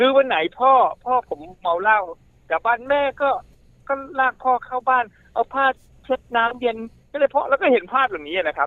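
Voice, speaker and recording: This man talks with an extremely high pitch and lively intonation. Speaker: university administrator. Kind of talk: interview.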